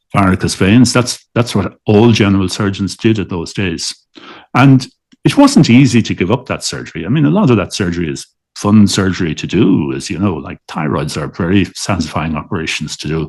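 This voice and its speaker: Over a quiet background, a man speaks at a fairly quick pace. His pitch is fairly low and his intonation lively. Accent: Dublin. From Dublin, Ireland. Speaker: liver transplant surgeon. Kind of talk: interview answer.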